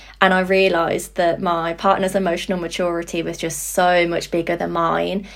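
A woman's fairly low voice in a British accent, flat and monotone, with hardly any pauses. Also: moderate pace. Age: 20s. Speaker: psychology graduate and support worker. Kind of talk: casual interview chat.

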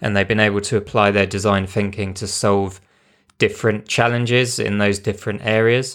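A man with a strong British accent speaks in a monotone, flat voice at a moderate pace, his pitch fairly low. The recording is very clean with a silent background. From UK. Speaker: podcast host, UX designer. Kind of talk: casual podcast chat.

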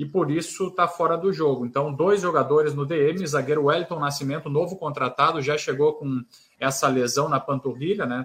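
A man speaks at a moderate pace in an ordinary speaking voice. His pitch is fairly high, with fairly even intonation. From Rio Grande do Sul, Brazil (Santa Maria). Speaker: sports reporter. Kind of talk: radio sports debate.

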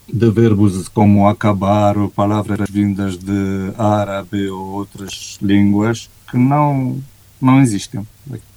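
Very slowly, a man with a Romanian accent speaks at a fairly low pitch with fairly even intonation. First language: Romanian (speaking Portuguese). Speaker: executive coach. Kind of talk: interview conversation.

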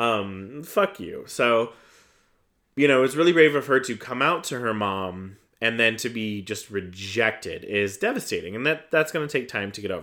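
Bright and sharp in tone, a man with an American accent speaks at a medium pitch. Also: lively intonation, moderate pace. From US Midwest (Iron Mountain, Michigan). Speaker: podcast host. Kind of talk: casual monologue review. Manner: animated, halting with fillers.

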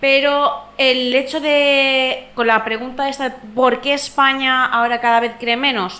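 A woman with a high pitch uses a raised, projected voice at a fairly slow pace. Her intonation is monotone and flat, with noticeable background noise behind her. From Valencia. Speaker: podcast panelist. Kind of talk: casual chat.

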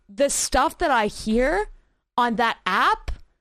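A woman's high pitch and lively intonation over a quiet background. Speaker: streamer and social media creator. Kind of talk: casual chat. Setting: call.

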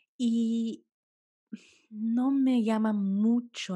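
A woman speaks in a calm tone. Her voice is dark and mellow. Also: quiet background. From United States, Colombian-Caribbean family. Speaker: food photographer. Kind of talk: interview.

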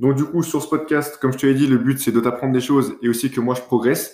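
Fairly quick speech from a man, medium in pitch, its intonation fairly even. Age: 20s. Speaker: podcast host, business school student. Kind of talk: casual solo monologue. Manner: hesitant, with fillers and self-corrections.

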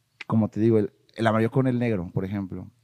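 A man with a Mexican accent speaks at a medium pitch in a dark, mellow tone, his intonation fairly even. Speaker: marketing agency owner. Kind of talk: casual interview chat. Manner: halting, repeats words.

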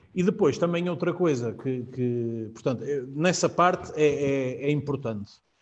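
A man at a fairly high pitch, fairly slow in pace, with lively intonation. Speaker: real estate agent. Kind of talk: live-streamed casual panel chat. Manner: halting, repeats words.

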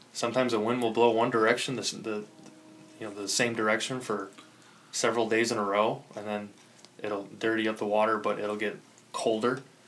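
Speaking with an American accent at a fairly quick pace, a man keeps a monotone, flat intonation. Long pauses come often, and the room echo is audible. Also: medium pitch for a man. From Chicago south side suburbs, Illinois. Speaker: angler. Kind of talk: casual chat.

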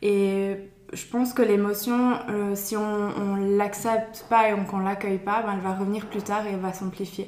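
There is audible room echo around a woman with a medium pitch. She talks at a fairly slow pace in a monotone, flat intonation. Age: 20s. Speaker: early childhood educator. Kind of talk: interview. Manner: halting.

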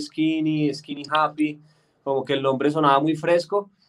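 With a slight Antioquia Colombian accent, a man speaks at a fairly high pitch with fairly even intonation. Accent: Colombian paisa (Antioquia) tinge. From Colombia, Bogotá. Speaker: singer-songwriter. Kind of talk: interview.

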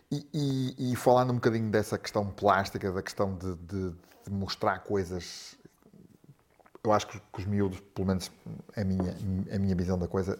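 The delivery is moderate in pace with fairly even intonation. Long pauses come often. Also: man. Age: 50s. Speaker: podcast host. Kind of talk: casual interview. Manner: halting, many repetitions.

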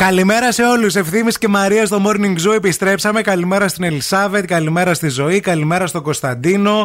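A man speaks in an animated tone at a high pitch, with ordinary pitch variation. His pace is fairly quick, with hardly any pauses and very even loudness. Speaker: radio host. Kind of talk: casual chat. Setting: studio.

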